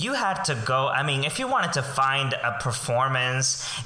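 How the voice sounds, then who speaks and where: A man with a Spanish accent speaks at a fairly high pitch. Audible room echo and noticeable background noise accompany his voice. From Colombia. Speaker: voice teacher and performing arts educator. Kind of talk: interview.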